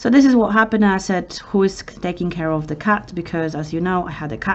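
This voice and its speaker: With a Polish accent, a woman talks at a fairly quick pace in a medium pitch with ordinary pitch variation, over noticeable background noise. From Poland. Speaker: vlogger. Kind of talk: emotional personal story. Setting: outdoors in city center. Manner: halting.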